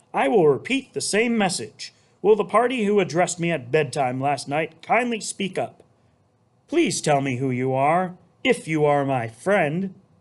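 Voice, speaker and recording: A man's put-on character voice, high in pitch, at a moderate pace against a quiet background. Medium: read story. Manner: earnest.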